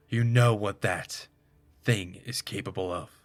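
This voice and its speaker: The speaker uses a put-on character voice at a fairly slow pace with fairly even intonation. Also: man, fairly low pitch for a man. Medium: read story. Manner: wary, clipped.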